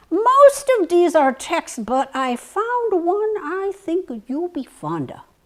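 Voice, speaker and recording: In a put-on character voice, a woman speaks at an extremely high pitch and a very slow pace, with hardly any pauses, very wide pitch swings and big swings in loudness. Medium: stage play.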